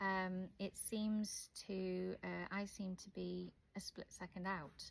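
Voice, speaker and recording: The speaker has a Welsh accent and sounds somewhat breathy. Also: woman. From Wales. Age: 40s. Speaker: video blogger with hearing loss. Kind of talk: casual vlog to camera. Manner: hesitant, many fillers.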